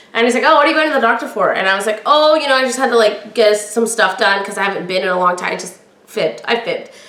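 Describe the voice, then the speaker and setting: Talking very fast with hardly any pauses, a woman sounds animated at a fairly high pitch with ordinary pitch variation, amid noticeable background noise and audible room echo. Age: 40s. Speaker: podcast host. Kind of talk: personal storytelling. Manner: projects loudly.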